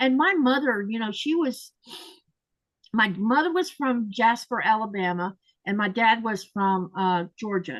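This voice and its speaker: A woman with an American accent, a fairly high pitch, lively intonation and a fairly slow pace. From Florida, US South. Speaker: quilting channel host. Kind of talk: casual chat.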